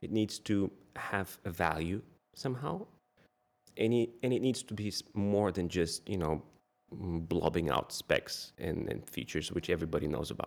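A man with a Bulgarian accent speaks in a very deep, low voice with ordinary pitch variation. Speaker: YouTube content creator. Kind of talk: casual interview chat. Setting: video call from his studio.

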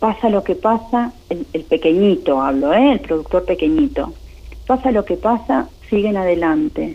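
A woman speaks at a medium pitch with a dark, mellow tone and vocal fry. Her pitch swings very widely, and her pace is fairly slow. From Argentina, Greater Buenos Aires (Berazategui). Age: 40s. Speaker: tourism and gastronomy researcher and lecturer. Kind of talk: interview.

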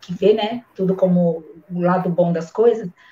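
A woman with a plain, everyday voice speaks at medium pitch with fairly even intonation. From Brazil, Minas Gerais. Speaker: bank employee and amateur runner. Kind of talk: casual chat. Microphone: unstable connection.

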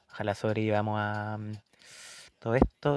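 A man with a Chilean accent speaks at medium pitch in a very clean recording with a silent background. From Chile, Curicó (Maule region). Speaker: podcaster. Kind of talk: casual monologue. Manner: animated.

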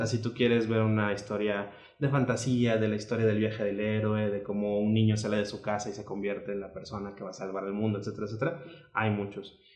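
The speech is very fast, with hardly any pauses and fairly even intonation. Loudness swings widely amid noticeable background noise and audible room echo. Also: man, fairly low pitch for a man. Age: 30s. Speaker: lawyer, anime fan. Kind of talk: casual chat.

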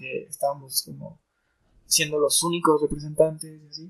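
This man has an ordinary speaking voice at a moderate pace. His intonation is fairly even. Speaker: percussionist. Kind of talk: casual chat.

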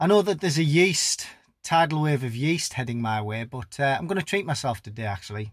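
A man with a northern English accent speaks at a fairly quick pace, his pitch fairly high. The recording is very clean, with a silent background. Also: lively intonation. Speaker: podcast host. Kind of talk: comedic monologue. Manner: low energy.

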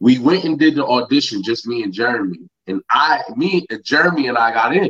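Someone speaks with a New York accent at a moderate pace. The intonation is lively. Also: man. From Yonkers, New York. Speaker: musical artist. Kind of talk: casual chat.

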